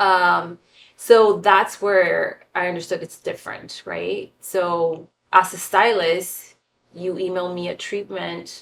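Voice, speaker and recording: Very slow speech in a Spanish accent, with big swings in loudness. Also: woman. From San Diego, US-Mexico border (born Tijuana). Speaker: fashion and film stylist. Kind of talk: casual interview.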